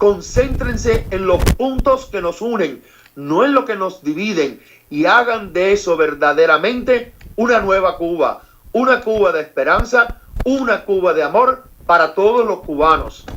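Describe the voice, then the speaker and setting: Noticeable background noise sits under a man speaking fairly slowly with high pitch and lively intonation. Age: 60s. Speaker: priest. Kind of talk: speech.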